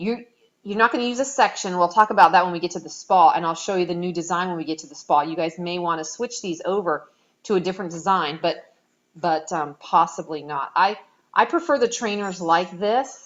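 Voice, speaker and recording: Moving at a fairly quick pace, a woman with a fairly low pitch and ordinary pitch variation shows big swings in loudness. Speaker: app developer giving client walkthrough. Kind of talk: tutorial. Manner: many fillers (um, you know).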